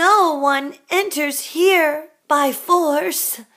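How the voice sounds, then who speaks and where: A woman speaks in a put-on character voice. Her pitch sits high and moves with ordinary variation. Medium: read story.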